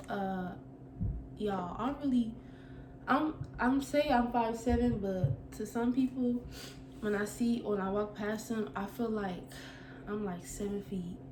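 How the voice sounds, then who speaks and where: Over noticeable background noise and audible room echo, a woman talks at a fairly slow pace with long, frequent pauses, a fairly high pitch and lively intonation. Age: 20s. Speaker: vlogger. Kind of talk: casual Q&A vlog. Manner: halting, stuttering.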